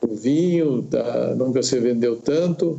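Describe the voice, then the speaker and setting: The man talks very slowly, his pitch varying in an ordinary way. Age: 70s. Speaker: farm director. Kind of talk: panel discussion.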